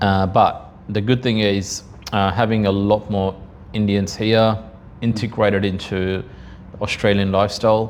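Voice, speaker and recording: Over noticeable background noise, a man talks at a fairly slow pace in a fairly low, monotone, flat voice. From India, north of Hyderabad. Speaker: supply chain guest. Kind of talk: casual interview chat. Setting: studio.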